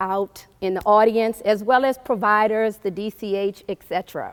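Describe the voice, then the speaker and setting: In a dry, close sound with no echo, a woman of medium pitch speaks at a moderate pace with fairly even intonation. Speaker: clinical operations director. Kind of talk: conference presentation. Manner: loud.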